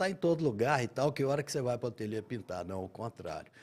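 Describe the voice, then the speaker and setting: The man has a dark, mellow tone at a medium pitch. His pace is moderate and his pitch variation ordinary. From Minas Gerais, Brazil (São João del Rei, raised in Belo Horizonte). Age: 70s. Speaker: painter. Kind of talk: interview.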